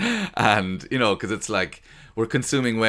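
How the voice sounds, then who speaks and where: A speaker with an Irish accent has a bright, sharp tone and ordinary pitch variation. The recording is very clean, with a silent background. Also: man. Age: 40s. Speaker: stand-up comedian. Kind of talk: interview. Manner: halting.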